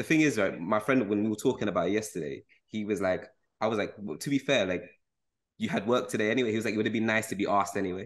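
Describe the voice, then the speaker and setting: With a London accent, a man speaks very fast in a fairly low voice, using ordinary pitch variation over a quiet background. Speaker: podcast host. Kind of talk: casual chat.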